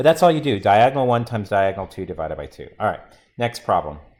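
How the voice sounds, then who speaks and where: At a very fast pace, a man talks with vocal fry, medium pitch and lively intonation. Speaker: math teacher. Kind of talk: classroom lecture.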